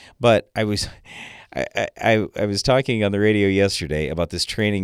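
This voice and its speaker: In a normal speaking voice, the speaker goes at a moderate pace, with a dry, close sound and no echo. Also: man. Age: 50s. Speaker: farm radio co-host and agronomist. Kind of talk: radio call-in show discussion. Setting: radio studio.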